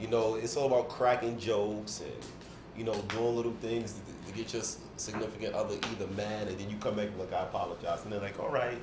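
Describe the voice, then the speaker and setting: Over noticeable background noise and audible room echo, a man speaks at a very fast pace with a fairly low pitch. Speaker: podcast panelist. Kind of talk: casual chat. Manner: animated.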